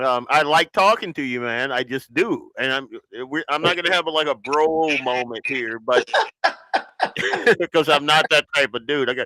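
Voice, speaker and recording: A man with a Southern US accent at a fairly high pitch, bright, sharp tone and ordinary pitch variation, moderate pace, dry, close sound with no echo, on a very clean recording with a silent background. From US South. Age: 50s. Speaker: podcast host. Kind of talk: casual chat. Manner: casual, relaxed.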